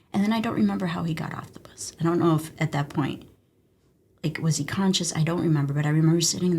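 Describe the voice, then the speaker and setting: A woman speaks very fast in a very deep, low voice that is somewhat breathy, with a dark, mellow tone. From Mexico, moved to US around age 6-7. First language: Spanish. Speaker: emergency physician, former army medic. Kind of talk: interview conversation. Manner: animated storytelling.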